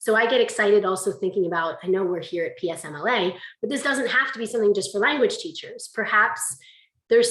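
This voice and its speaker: A woman speaks at a fairly quick pace, with audible echo from the room. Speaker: conference presenter, language teacher. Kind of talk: conference presentation. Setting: video call. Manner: fast; animated.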